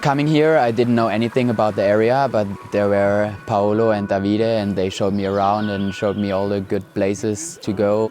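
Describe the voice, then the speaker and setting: There are hardly any pauses as a man talks with fairly even intonation. His fairly low pitch comes through noticeable background noise. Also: fairly quick pace. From Germany, Stuttgart. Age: 20s. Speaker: climber. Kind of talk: interview.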